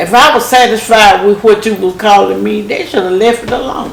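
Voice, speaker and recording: Amid noticeable background noise, a woman speaks at a medium pitch with ordinary pitch variation. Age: old. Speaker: grandmother. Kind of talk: interview answer.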